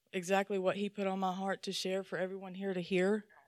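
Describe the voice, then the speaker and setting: A woman talks at a fairly quick pace with a Southern US accent. The sound is dry and close with no echo, on a very clean recording with a silent background. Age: middle-aged. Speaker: lay speaker at church. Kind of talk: sermon. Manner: animated.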